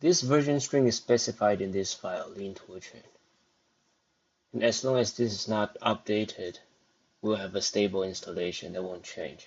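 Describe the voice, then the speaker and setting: Long, frequent pauses in a man's fairly low voice with a non-native accent, at a moderate pace with ordinary pitch variation. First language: not English. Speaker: programming tutorial host. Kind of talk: screen-recorded coding tutorial.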